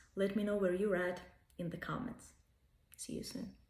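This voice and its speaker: There is audible room echo in this recording. The speaker is a woman. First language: Russian. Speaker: language tutor. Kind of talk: self-promotional pitch.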